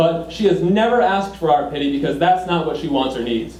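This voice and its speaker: A man with an American accent speaks at a fairly high pitch with lively intonation. Audible room echo and noticeable background noise surround him. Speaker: political candidate. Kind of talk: campaign speech; Q&A answer. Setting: public meeting with audience. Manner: energetic.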